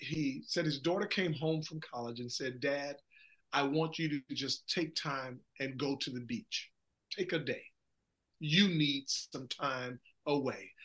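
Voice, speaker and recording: This is a plain, everyday voice at a fairly slow pace. Pitch varies in an ordinary way. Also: man, fairly high pitch for a man. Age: 50s. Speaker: pastor. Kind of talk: interview.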